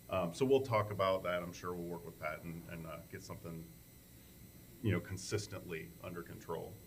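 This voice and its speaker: This man speaks loudly and fairly quickly in a very deep, low pitch with ordinary pitch variation, and audible room echo surrounds him. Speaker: township trustee. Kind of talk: public meeting report.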